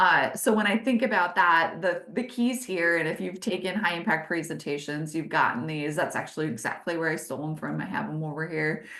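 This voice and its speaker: Speaking at a moderate pace, a woman with a fairly low pitch and ordinary pitch variation is heard with audible room echo. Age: 40s. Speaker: business consultant leading webinars. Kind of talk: webinar presentation. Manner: animated.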